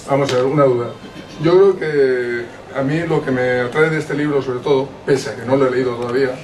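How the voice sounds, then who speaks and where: Amid noticeable background noise and audible room echo, a man speaks at a moderate pace with medium pitch and fairly even intonation. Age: 50s. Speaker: audience member at book presentation. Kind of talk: audience question, public discussion.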